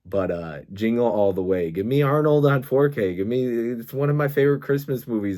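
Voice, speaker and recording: On a very clean recording with a silent background, a man at a medium pitch makes very wide pitch swings. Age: 30s. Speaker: movie collector YouTuber. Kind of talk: casual monologue review. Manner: animated.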